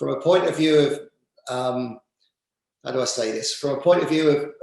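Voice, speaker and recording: A man speaks with an English accent at a moderate pace. Room echo is audible. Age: 50s. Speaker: football director and former manager. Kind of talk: interview. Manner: halting, many fillers and repeats.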